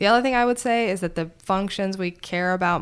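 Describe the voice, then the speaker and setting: A woman with an American accent talks at a fairly quick pace, in a plain, everyday voice with ordinary pitch variation. The recording is very clean, with a silent background. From Wisconsin. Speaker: soil scientist, university faculty. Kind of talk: casual interview.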